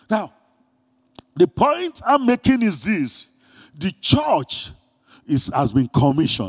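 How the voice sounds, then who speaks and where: A man with a Nigerian accent speaks at a very slow pace with very wide pitch swings, the sound dry and close with no echo. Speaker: pastor. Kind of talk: sermon. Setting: church.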